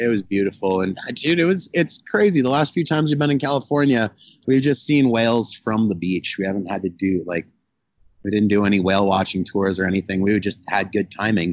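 With an American accent and an ordinary speaking voice, a man talks at a fairly quick pace in a fairly low pitch, his intonation lively. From Colorado mountains (Telluride). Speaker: barbecue restaurant owner. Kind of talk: interview. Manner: casual, filler-heavy.

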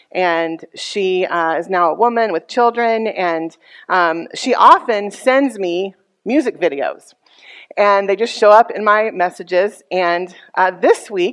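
In an American accent, a woman talks at a very slow pace. Her pitch is medium, with ordinary pitch variation. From Texas. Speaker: pastor. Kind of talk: sermon.

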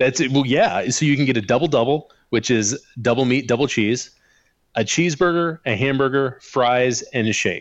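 A man speaks with a Midwestern American accent at a medium pitch with ordinary variation. His loudness stays very even. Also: moderate pace. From US Midwest, rural western Illinois. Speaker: podcast co-host. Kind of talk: casual chat.

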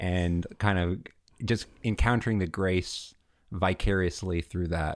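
In an American accent, a man with a very deep voice speaks at a fairly slow pace and fairly even intonation on a very clean recording with a silent background. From Alabama, Montgomery. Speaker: seminarian. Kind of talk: casual interview.

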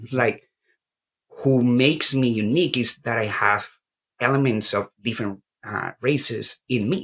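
A man's medium-pitched voice with ordinary pitch variation, long, frequent pauses and a dry, close sound with no echo. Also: fairly slow pace. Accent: Colombian. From Colombia. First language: Spanish. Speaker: graduate student. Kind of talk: panel discussion. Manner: halting.

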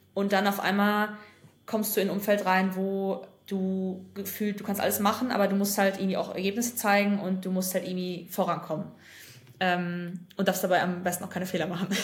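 A woman's somewhat breathy voice, flat and monotone in intonation, at a fairly quick pace, with audible room echo. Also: medium pitch for a woman. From western Germany, North Rhine-Westphalia. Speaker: former investment banker and consultancy founder. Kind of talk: casual interview.

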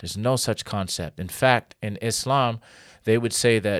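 A man with an American accent has a plain, everyday voice and ordinary pitch variation. The recording is very clean with a silent background, and the sound is dry and close with no echo. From US Northeast, Connecticut. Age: 40s. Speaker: pastor. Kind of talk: interview.

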